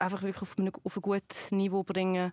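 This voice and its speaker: A woman speaks at a medium pitch and a moderate pace. The sound is dry and close with no echo, on a very clean recording with a silent background. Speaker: TV presenter and comedian. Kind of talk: casual chat. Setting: studio.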